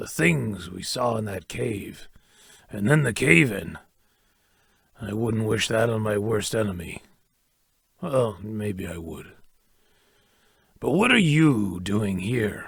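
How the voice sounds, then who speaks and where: In a raspy, cartoonish character voice, the speaker uses lively intonation and big swings in loudness. The pace is fairly slow, with long, frequent pauses. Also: man, fairly low pitch for a man. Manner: gruff, dry.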